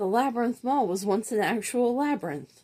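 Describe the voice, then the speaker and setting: Put-on character voice from a woman, fairly high-pitched and moderately paced. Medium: read story. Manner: grandiose, theatrical.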